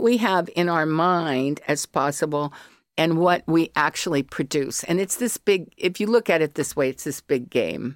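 In an American accent, an ordinary speaking voice moves at a fairly slow pace with lively intonation, captured as a very clean recording with a silent background and a dry, close sound with no echo. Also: woman. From US, Colorado. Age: 60s. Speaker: artist and academic. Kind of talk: casual interview.

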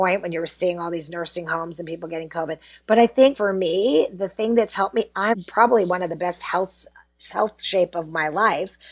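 A woman's normal speaking voice with an American accent, fairly low in pitch, with ordinary pitch variation and a fairly quick pace. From US, Pittsburgh. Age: 50s. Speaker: PR agency founder. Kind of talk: interview.

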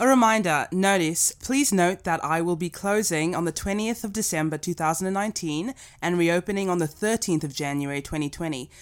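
An unremarkable speaking voice belongs to this woman, fairly low in pitch. She talks at a fairly quick pace with ordinary pitch variation. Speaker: podcast guest. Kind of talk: casual chat.

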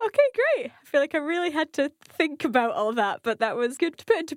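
In a plain, everyday voice, a woman speaks at a fairly quick pace with a dry, close sound and no echo. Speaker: language learner. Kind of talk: language lesson.

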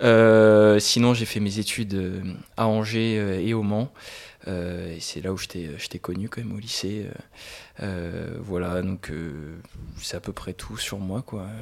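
Slowly and with long, frequent pauses, a man talks at a fairly low pitch with fairly even intonation, his pace very slow. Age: 20s. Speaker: business student. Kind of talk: casual chat.

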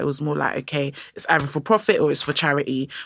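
Speaking very fast with a London accent, a woman uses a very deep, low pitch. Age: young. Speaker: curator and art educator. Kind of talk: interview. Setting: studio.

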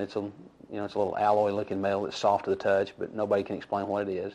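A man's fairly low voice in a Texan accent at a very fast pace. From North Texas, Wise County. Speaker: local resident. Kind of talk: interview testimony.

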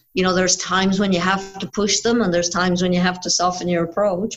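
A woman with an Irish accent speaks with fairly even intonation. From Ireland. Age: 50s. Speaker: boxing coach and psychologist. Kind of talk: interview.

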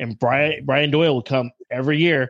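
A man with an ordinary speaking voice talks at medium pitch and a fairly quick pace, the sound dry and close with no echo. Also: quiet background. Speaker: guest takeover host. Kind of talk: casual chat, profane banter.

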